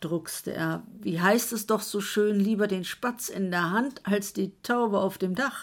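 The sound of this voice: This is an unforced reading voice with ordinary pitch variation.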